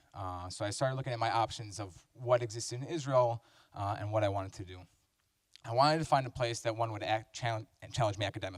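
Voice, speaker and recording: A somewhat breathy man talks at a fairly quick pace and medium pitch, keeping his intonation fairly even. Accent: American. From US Midwest, Chicago. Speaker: university student. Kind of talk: testimonial talk. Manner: halting, many fillers.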